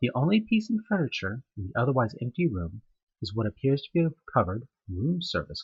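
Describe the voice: Over a quiet backdrop, someone plainly reads a passage aloud.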